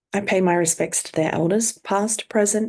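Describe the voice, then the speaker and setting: A woman speaks at a moderate pace. She has an unremarkable speaking voice with ordinary pitch variation. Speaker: counsellor and podcast host. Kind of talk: podcast intro acknowledgement of country.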